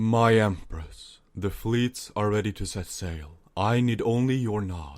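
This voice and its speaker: A put-on character voice with hardly any pauses, on a very clean recording with a silent background. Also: man, fairly low pitch for a man, fairly slow pace. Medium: read story. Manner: formal, deferential.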